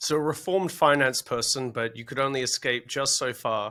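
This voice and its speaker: With an Australian accent, a man at medium pitch speaks at a moderate pace in a bright, sharp tone on a very clean recording with a silent background. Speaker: podcast host, digital assets director. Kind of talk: podcast interview. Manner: casual, joking.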